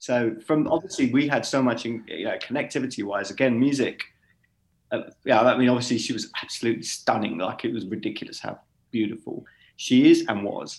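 A man with a London accent at a fairly quick pace. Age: 40s. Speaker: DJ and events founder. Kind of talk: casual chat.

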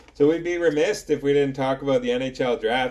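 A man talks at a moderate pace in a fairly high pitch with ordinary pitch variation. He has a plain, everyday voice. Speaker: hockey podcast host. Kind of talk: casual chat.

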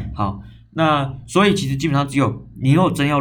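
A man speaks at a moderate pace with vocal fry. There is audible echo from the room. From Taiwan, Zhongli (Taoyuan). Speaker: podcast host. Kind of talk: casual solo talk. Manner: animated.

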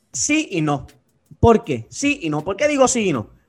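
This man talks at a fairly slow pace, his voice pitched high. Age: 20s. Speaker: teacher. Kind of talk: casual chat.

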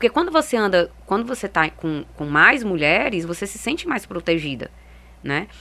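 A woman speaks at a moderate pace in a bright, sharp tone with very wide pitch swings. The recording is very clean, with a silent background. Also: medium pitch for a woman. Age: 30s. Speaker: women's football projects coordinator and fan group president. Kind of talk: interview. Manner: halting.

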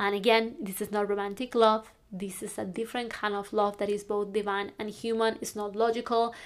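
A woman speaks with a Spanish accent in a medium pitch, at a fairly quick pace with hardly any pauses. Her intonation is monotone and flat. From northern Spain. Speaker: life coach. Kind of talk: podcast monologue.

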